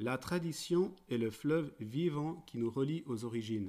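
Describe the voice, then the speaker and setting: A man's dark, mellow voice with a Swiss accent, medium pitch, ordinary pitch variation and a fairly slow pace. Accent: Swiss-tinged French. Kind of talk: prepared talk read aloud. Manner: formal.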